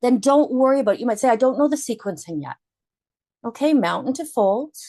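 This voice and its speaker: The speaker's intonation is lively, set against a quiet background. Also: woman. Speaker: yoga instructor. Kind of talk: guided yoga class instruction.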